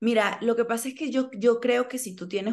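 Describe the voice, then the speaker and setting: The speaker is a woman at a moderate pace. The background is quiet. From Venezuela. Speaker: actress. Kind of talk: interview. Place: home room. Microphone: video call.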